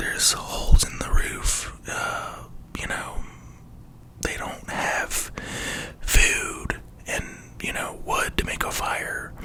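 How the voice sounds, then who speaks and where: A woman whispers at a very slow pace with long, frequent pauses and big swings in loudness, over noticeable background noise. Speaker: ASMR content creator. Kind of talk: whispered ramble, casual talk to camera. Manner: whispered, soft, rambling, hesitant with fillers.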